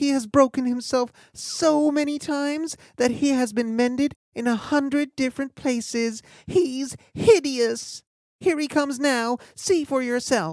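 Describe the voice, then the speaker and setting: In a put-on character voice, a woman speaks at a fairly slow pace with high pitch on a very clean recording with a silent background. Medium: read story. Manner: timid.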